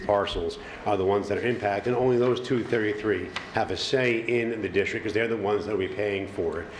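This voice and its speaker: A man with an American accent speaks very fast at a fairly low pitch with ordinary pitch variation. Noticeable background noise and audible room echo fill the recording. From Long Island, New York. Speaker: funding consultant presenting to town board. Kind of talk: presentation at public meeting. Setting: town board meeting.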